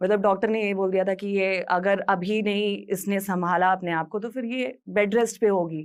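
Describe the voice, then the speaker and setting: A woman talks at a moderate pace in a normal speaking voice with fairly even intonation. The recording is very clean, the background silent. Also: medium pitch for a woman, hardly any pauses. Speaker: radio jockey. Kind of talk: motivational talk.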